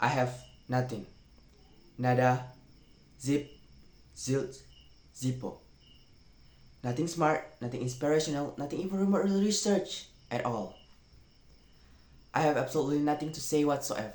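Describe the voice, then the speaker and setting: A man with a non-native accent speaks at a moderate pace in a fairly high pitch with lively intonation. He leaves long, frequent pauses. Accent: non-native English, pronunciation errors. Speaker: university student. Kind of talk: reading a parody talk script aloud.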